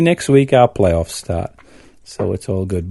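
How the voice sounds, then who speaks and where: A man with a northern English accent speaks in a dark, mellow tone. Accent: northern English, strong but toned down. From northern England. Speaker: podcast guest, host's father. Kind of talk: casual chat.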